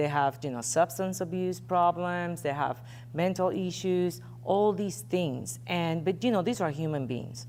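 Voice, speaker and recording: A woman's very deep, low voice in a Puerto Rican accent, with lively intonation at a fairly slow pace and audible room echo. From Puerto Rico. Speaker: investigative journalist and editor. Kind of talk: interview on stage. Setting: stage with audience. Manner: conversational, with fillers.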